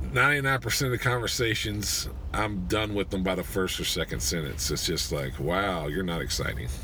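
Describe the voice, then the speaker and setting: Over noticeable background noise and audible room echo, a man talks at a moderate pace with hardly any pauses and very wide pitch swings. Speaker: podcast host. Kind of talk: casual monologue. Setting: parked car at a gym parking lot. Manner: many filler words, uh and um.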